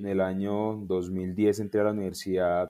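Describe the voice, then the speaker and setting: A man's normal speaking voice, fairly low in pitch, with fairly even intonation. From Colombia, Tolima. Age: young. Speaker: sports lawyer and government official. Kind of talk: interview.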